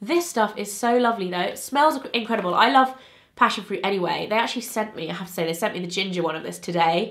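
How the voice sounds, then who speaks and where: A woman with a British accent talks at a very fast pace with lively intonation, and there is noticeable background noise. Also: medium pitch for a woman. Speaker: beauty vlogger. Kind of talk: casual chat. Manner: chatty, informal.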